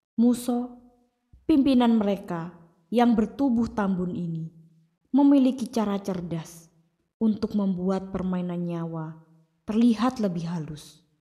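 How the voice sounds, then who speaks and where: A woman's dark, mellow, somewhat breathy voice at medium pitch, very slow in pace, with a dramatic, intense tone. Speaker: audiobook narrator. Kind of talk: dramatic story narration, audiobook style, with character dialogue. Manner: dramatic, intense, solemn tone building suspense; animated, voicing different characters.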